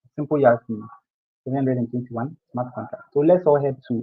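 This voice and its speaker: Quietly, a man speaks at medium pitch. His intonation stays fairly even. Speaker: bootcamp instructor. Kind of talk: technical tutorial. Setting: live stream video call. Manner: too quiet.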